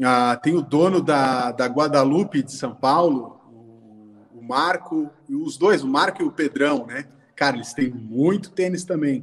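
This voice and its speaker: A man uses an ordinary speaking voice with fairly high pitch and ordinary pitch variation. He talks at a fairly slow pace with hardly any pauses and big swings in loudness. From Brazil. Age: 30s. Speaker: sneaker collector and designer. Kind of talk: casual chat. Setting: video call.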